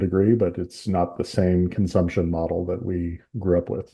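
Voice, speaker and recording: A man with an American accent speaks at a moderate pace in a very deep, low, somewhat breathy voice, monotone and flat in intonation. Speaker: podcast host. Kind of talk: casual chat.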